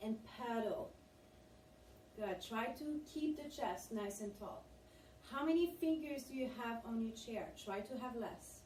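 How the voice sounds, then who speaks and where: Against noticeable background noise and audible room echo, a woman with a high pitch and an upbeat tone speaks at a fairly slow pace with lively intonation and long, frequent pauses. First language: French. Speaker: fitness instructor. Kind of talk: guided exercise class. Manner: encouraging, upbeat.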